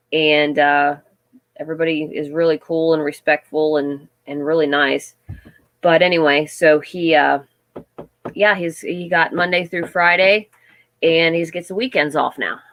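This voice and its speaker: Her pitch is fairly low for a woman. She keeps a moderate pace and fairly even intonation. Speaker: livestream host of a homestead channel. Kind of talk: casual live chat with viewers.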